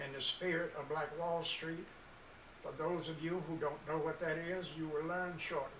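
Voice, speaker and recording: A man with an American accent talks in a flat monotone at a fairly high pitch. Noticeable background noise and audible room echo fill the recording. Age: 80s+. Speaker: community organization founder, military veteran. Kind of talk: presentation speech.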